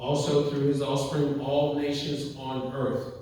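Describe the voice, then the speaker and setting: A man talks at a fairly slow pace with a fairly high pitch. Noticeable background noise is present. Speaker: preacher delivering a sermon. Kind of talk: church sermon.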